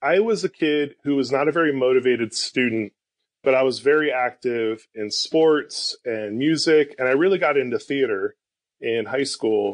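Here a man uses an ordinary speaking voice, fairly high in pitch, with ordinary pitch variation at a moderate pace. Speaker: pastor. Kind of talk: casual chat.

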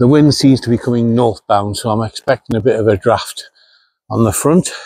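The voice has a dark, mellow tone and a moderate pace, with dry sound free of echo and a quiet background. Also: man. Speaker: vlogger. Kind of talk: casual vlog chat. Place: street. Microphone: lapel.

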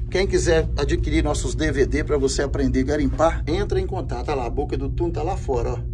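A man talks at moderate speed, with music in the background. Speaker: channel host. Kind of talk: casual vlog chat. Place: tunnel cave.

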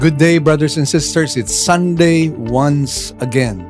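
Clear music plays in the background as the voice moves at a fairly slow pace with ordinary pitch variation. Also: man. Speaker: church preacher / pastor. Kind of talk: sermon preaching. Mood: earnest, warm. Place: studio.

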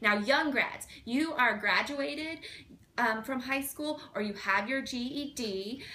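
Speaking at a very slow pace, a woman uses a raised, projected voice with ordinary pitch variation. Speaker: school representative hosting Q&A. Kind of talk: casual chat. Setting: video call. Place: office. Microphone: webcam.

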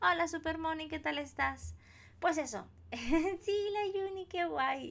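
Her delivery is very slow. This woman's pitch ranges extremely widely. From Spain. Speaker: crafting streamer. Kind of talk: live stream chat while colouring. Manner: animated. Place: home room.

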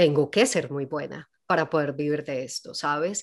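The woman speaks at a fairly slow pace. The background is quiet. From Colombia, Medellín (paisa). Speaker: actress and singer; actress. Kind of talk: casual interview. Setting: video call. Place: home room. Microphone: studio mic.

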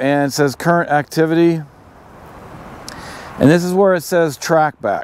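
A man speaks at a moderate pace with ordinary pitch variation, and the sound is dry with no echo. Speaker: outdoor gear reviewer. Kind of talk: tutorial. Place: open country. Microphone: lapel.

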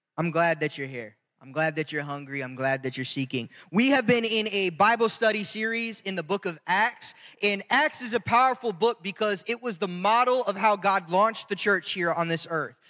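Over a quiet background, a man speaks in a raised, projected voice with a bright, sharp tone. His pace is moderate. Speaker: pastor. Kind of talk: sermon. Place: church. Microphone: handheld.

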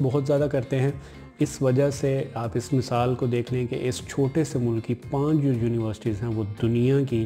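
A man at a fairly slow pace, faint music behind him. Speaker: student advice vlogger. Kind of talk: informative vlog talk. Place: home room. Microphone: camera far.

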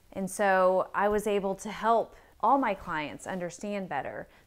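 There is light background noise as a woman talks. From Texas, Austin; Texas. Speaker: real estate agent. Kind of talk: promotional introduction and informal interview. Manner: casual with filler words. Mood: warm, friendly. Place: home room.

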